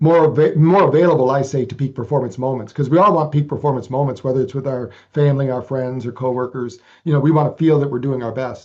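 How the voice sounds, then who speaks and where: Over a quiet background, a man of medium pitch talks at a very fast pace with fairly even intonation. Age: 60s. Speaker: researcher and author on brain training. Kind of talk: interview. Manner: halting, frequent repetitions.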